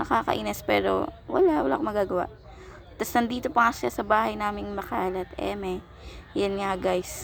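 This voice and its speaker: Background music accompanies her as she talks at moderate speed. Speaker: vlogger. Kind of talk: vlog voiceover narration. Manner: casual, chatty.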